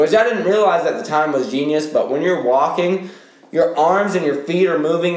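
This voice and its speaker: A high-pitched man with an animated tone at a moderate pace, with audible room echo and noticeable background noise. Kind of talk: casual chat.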